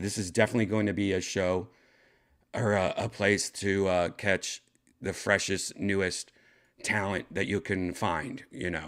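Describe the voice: A man's put-on character voice, hoarse and raspy, fairly low-pitched, at a moderate pace with fairly even intonation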